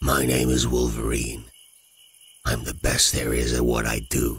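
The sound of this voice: This man puts on a character voice, extremely low pitched with a husky, rough edge and a fairly bright tone. He goes at a fairly slow pace in a flat monotone.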